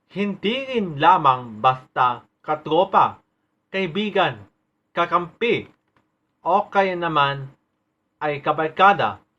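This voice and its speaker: Pausing long and often, a man speaks very slowly in a high voice with lively intonation. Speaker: poet. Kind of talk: spoken word poetry.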